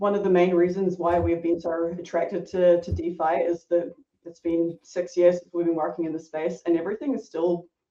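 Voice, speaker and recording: With a New Zealand accent, a woman speaks at a fairly low pitch and with fairly even intonation. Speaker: product designer. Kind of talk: podcast interview.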